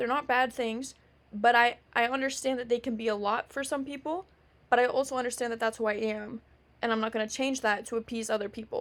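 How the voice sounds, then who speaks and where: A woman speaks loudly at a fairly quick pace. Her pitch is high and her intonation fairly even. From Canada, Ontario. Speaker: podcast host. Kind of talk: casual monologue. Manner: many fillers.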